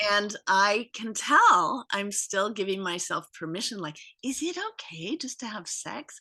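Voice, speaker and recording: In an ordinary speaking voice, a woman talks fairly slowly at a medium pitch with lively intonation and big swings in loudness. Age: 60s. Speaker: guest interviewee. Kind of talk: casual chat.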